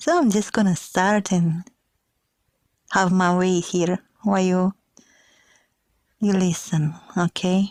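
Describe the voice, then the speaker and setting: A woman speaks at a very slow pace, with long, frequent pauses, medium pitch, fairly even intonation and very even loudness. The sound is dry and close, with no echo. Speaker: podcaster. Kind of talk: casual podcast talk.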